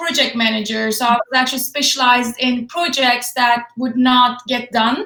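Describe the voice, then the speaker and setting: In a bright, sharp tone, a woman speaks high-pitched at a moderate pace with monotone, flat intonation. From Turkey. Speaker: fitness and nutrition expert. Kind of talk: interview. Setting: Facebook live video call.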